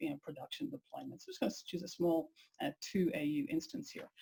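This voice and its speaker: A woman is speaking. Her voice is somewhat breathy. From Ireland. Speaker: software engineering executive. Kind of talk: webinar product demo. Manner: hesitant, many fillers.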